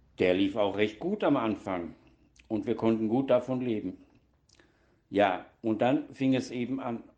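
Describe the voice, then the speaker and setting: A man's medium-pitched voice with a dark, mellow tone, ordinary pitch variation, a fairly slow pace and long, frequent pauses. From Baden-Württemberg (Donaueschingen), southwest Germany. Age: 60s. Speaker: former nurse, recovering alcoholic, formerly homeless. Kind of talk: interview testimony. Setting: studio.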